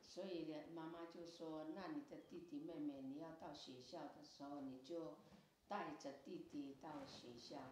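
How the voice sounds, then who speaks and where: A woman's very deep, low voice at a fairly slow pace with fairly even intonation. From Tafalong, Hualien, Taiwan. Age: 70s. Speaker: Amis traditional song sharer. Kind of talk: interview answer. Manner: casual storytelling.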